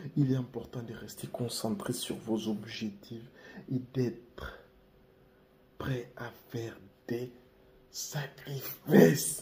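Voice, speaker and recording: A man talks at medium pitch with ordinary pitch variation. Noticeable background noise is present. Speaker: YouTuber giving life advice. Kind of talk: casual vlog monologue. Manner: relaxed, laid-back.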